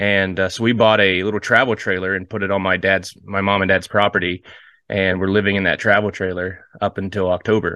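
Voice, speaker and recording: Fairly low in pitch, a man with an American accent speaks fairly quickly in a monotone, flat manner. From US Midwest (Ohio). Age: 30s. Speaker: pastor, missionary and war veteran. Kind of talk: interview, personal testimony. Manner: halting, many fillers and repeats.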